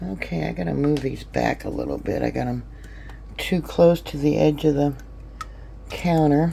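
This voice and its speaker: A woman speaking at a fairly slow pace. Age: 60s. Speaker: home canning vlogger. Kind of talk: casual tutorial. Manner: chatty, with many fillers.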